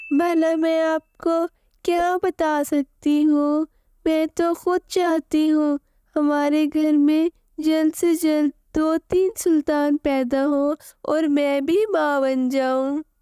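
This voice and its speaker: A cartoonish character voice sounds female and high in pitch. It moves at a very slow pace. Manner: meek, pleading.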